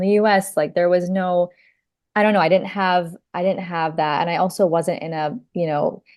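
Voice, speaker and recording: Against a quiet background, a woman of medium pitch speaks fairly quickly with an American accent. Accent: international-school American. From US and Gulf (Saudi Arabia, Kuwait). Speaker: podcast guest, embroidery teacher. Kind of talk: casual interview chat.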